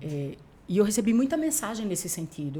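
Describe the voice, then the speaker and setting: Somewhat breathy and at a medium pitch, a woman's voice makes very wide pitch swings. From Paraíba, Brazilian Northeast. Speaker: TV journalist and news anchor. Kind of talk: casual interview chat.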